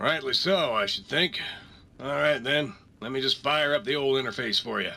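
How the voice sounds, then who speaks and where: Using a put-on character voice, a man talks at a moderate pace in a raspy, fairly high-pitched tone. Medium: video game. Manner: folksy, drawling, friendly.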